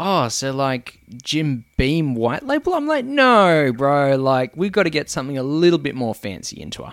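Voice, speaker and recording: A man with an Australian accent, fairly high pitch and lively intonation, in a very clean recording with a silent background. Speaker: guest co-host, podcast guest. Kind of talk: casual banter, comedic chat. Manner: casual, joking.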